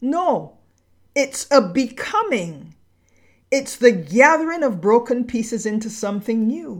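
A woman with a high pitch speaks at a fairly slow pace, her voice making very wide pitch swings. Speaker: podcast narrator. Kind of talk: spoken-word essay, scripted literary narration with reflective, poetic cadence. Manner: measured, solemn, lyrical, deliberate pacing with dramatic pauses.

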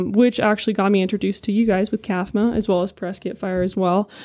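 A woman with a Californian accent and a dark, mellow tone at medium pitch, against a quiet background. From California, San Diego. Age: 20s. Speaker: firefighter recruit. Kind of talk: casual interview.

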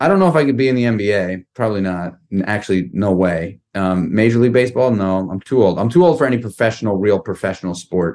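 On a very clean recording with a silent background, a man talks at a very fast pace with hardly any pauses, his fairly low pitch varying in an ordinary way. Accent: American. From New York City, Manhattan. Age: 40s. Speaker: entrepreneur and company founder. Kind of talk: interview conversation. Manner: animated storytelling; repetitive false starts.

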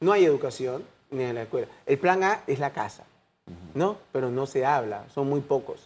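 The man speaks with lively intonation. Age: 60s. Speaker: doctor and HIV foundation president. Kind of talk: TV interview. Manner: halting.

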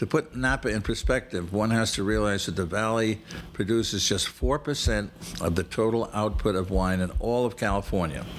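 The pitch rises and falls in an ordinary way. The pace is moderate. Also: man. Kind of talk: scripted travel narration, read like an informative mini-lecture. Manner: measured, formal, slightly halting with filler 'uh' hesitations.

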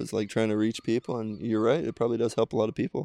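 A very fast man with an American accent, in a dry, close sound with no echo. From US Midwest, Cincinnati. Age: 30s. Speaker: professional volleyball player. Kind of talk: casual chat. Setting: recorded on location during a tournament.

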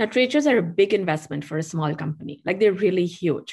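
Against a quiet background, a woman talks in an Indian accent. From India (Mumbai). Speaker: tea company founder. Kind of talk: interview. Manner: animated.

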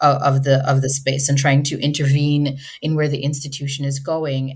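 A woman's very deep, low voice comes through somewhat breathy. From Jamaica. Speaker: alumna and donor. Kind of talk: interview conversation. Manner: thoughtful, hesitant with fillers.

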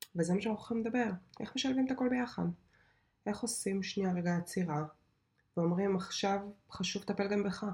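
A somewhat breathy woman speaks fairly quickly at a medium pitch with ordinary pitch variation and long, frequent pauses. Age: 30s. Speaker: podcast host and software developer. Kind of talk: casual monologue.

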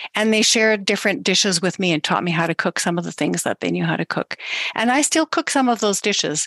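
Vocal fry runs through a woman's very fast speech, which has lively intonation. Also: medium pitch for a woman, dry, close sound with no echo. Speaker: podcast host. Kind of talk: interview, conversational.

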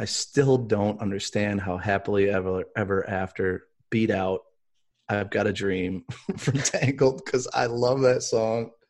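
Against a quiet background, a man talks at a fairly slow pace in a fairly low pitch. He has a plain, everyday voice with fairly even intonation. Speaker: co-host. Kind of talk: casual chat.

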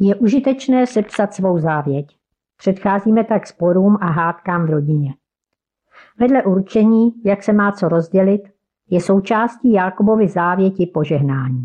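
A woman speaks in an ordinary speaking voice at a medium pitch, with lively intonation and a fairly slow pace. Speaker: church member and devotional author. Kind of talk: devotional reflection.

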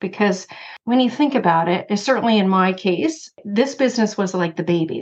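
This is a woman with an unremarkable speaking voice. Her pitch sits in the medium range. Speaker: insurance broker and consultant. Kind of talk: casual interview chat.

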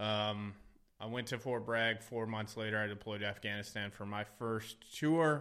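Here a man speaks in an ordinary speaking voice with fairly low pitch. His pace is moderate and his intonation fairly even. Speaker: army veteran. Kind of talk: casual chat.

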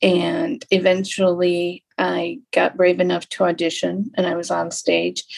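Speaking at a fairly slow pace with hardly any pauses, a woman talks in an American accent. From Lapeer, Michigan, US. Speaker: podcast host, arts center director. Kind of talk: interview.

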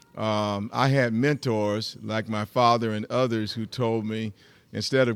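A man's medium-pitched voice in a Southern US accent, moderately paced, on a very clean recording with a silent background. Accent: Southern US (Georgia). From US South, rural Georgia. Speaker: pastor. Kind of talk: interview.

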